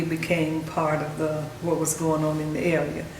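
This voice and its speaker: A woman with a North Carolina accent speaks at a fairly low pitch. The room echoes audibly, and there is noticeable background noise. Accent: Southern US (North Carolina). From US South, North Carolina (Carthage, Moore County). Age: 70s. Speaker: oral history interviewee. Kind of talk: oral history interview. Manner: halting, many fillers.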